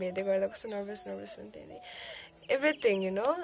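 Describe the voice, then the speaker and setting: Light background noise sits behind a woman's speech. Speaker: vlogger. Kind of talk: casual talk to camera. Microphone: phone near.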